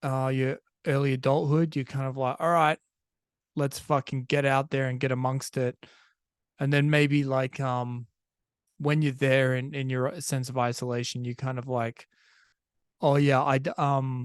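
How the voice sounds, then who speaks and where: Someone with an Australian accent talks at a moderate pace, with long, frequent pauses. The intonation is flat and monotone, and the sound is dry and close with no echo. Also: man, medium pitch for a man. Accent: Australian, sometimes taken for British. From Australia, Perth. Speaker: podcast host. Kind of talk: casual monologue. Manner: conversational, many fillers and restarts.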